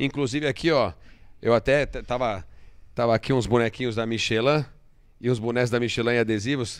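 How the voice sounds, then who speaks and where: A man speaks at a moderate pace in a quiet background. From Brazil. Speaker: automotive show host. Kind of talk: casual chat. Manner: animated. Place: studio. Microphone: studio mic.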